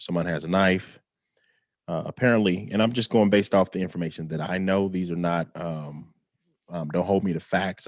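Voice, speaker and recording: Over a quiet background, a man talks with a very deep, low pitch. His pace is moderate, and his pitch variation is ordinary. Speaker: vlogger. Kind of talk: casual livestream monologue. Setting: live stream at home. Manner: quiet, talking low.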